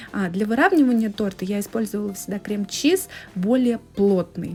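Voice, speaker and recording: A plain, everyday voice from a woman, medium in pitch, at a moderate pace. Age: 30s. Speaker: home cooking vlogger. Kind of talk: cooking tutorial. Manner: casual.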